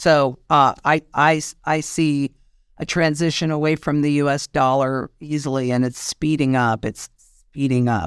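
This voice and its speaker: A woman with an American accent speaks at a fairly slow pace in a very deep, low voice with fairly even intonation. The recording is very clean and silent behind her, with a dry, close sound and no echo. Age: 60s. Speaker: market analyst. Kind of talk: interview.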